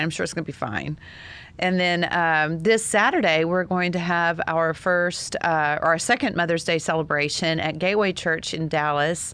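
A woman speaks in a plain, everyday voice at a fairly low pitch and moderate pace. The background is quiet. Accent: American. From Texas. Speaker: single parent advocate, podcast co-host. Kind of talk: casual chat. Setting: studio.

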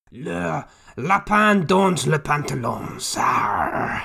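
A raspy, put-on character voice speaks at a very slow pace. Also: man, fairly high pitch for a man. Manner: mock, silly.

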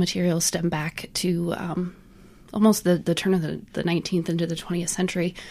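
A woman with an American accent and a plain, everyday voice, fairly low-pitched, at a moderate pace on a very clean recording with a silent background. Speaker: accessibility consultant. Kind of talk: casual chat.

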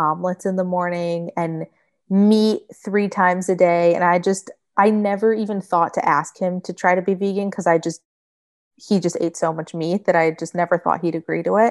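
At a moderate pace, a woman talks with an American accent and fairly even intonation. Hers is a plain, everyday voice at medium pitch, set against a quiet background. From Michigan. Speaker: vegan food blogger. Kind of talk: casual chat.

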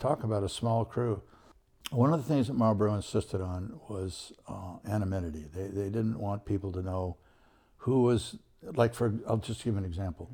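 With a General American accent, a man speaks in a somewhat breathy, dark, mellow tone at fairly low pitch on a very clean recording with a silent background. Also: ordinary pitch variation, moderate pace. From Southern California. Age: 80s+. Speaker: photographer. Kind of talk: interview.

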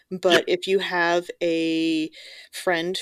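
A woman speaks with a very deep, low pitch. The sound is dry and close, without echo. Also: very clean recording, silent background. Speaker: podcast co-host and voiceover artist.

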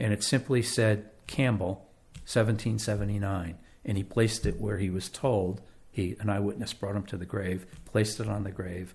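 A man speaks with fairly even intonation in a somewhat breathy, fairly low voice. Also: moderate pace. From Connecticut, West Haven. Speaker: local historian and author. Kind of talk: interview.

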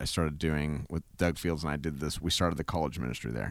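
In a very clean recording with a silent background, a man speaks at a very deep, low pitch. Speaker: singer-songwriter and pastor. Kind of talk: casual interview. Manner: enthusiastic.

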